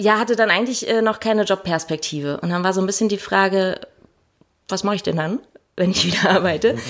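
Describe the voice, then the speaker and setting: Long, frequent pauses break up a woman's speech. Her medium-pitched voice shows ordinary pitch variation. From Hannover region, Lower Saxony. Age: 30s. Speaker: deacon. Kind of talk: interview. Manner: hesitant, many fillers.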